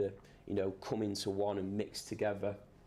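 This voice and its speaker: The voice has a dark, mellow tone and flat, monotone intonation. Room echo can be heard. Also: man. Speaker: lighting designer. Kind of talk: lecture. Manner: fast.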